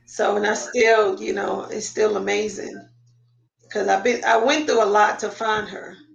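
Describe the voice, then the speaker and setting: Room echo is audible as a woman talks. Her pace is moderate. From Queens, New York. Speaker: adoptee sharing family search story. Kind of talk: interview testimony.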